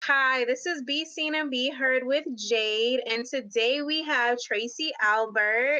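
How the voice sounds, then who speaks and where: Hardly pausing, a woman with an American accent speaks very slowly in a raised, projected voice that is high-pitched with a bright, sharp tone. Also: ordinary pitch variation. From New York City, Queens. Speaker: web series host. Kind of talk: interview.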